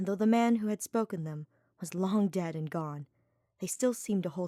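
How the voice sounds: The background stays quiet. Pitch varies in an ordinary way in a natural reading voice.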